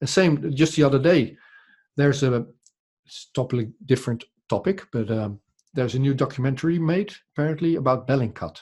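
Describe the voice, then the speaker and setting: A man with a Dutch accent talks fairly quickly at medium pitch, somewhat breathy, with ordinary pitch variation and long, frequent pauses. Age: 40s. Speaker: podcast journalist. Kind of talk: interview conversation. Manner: halting, many repetitions.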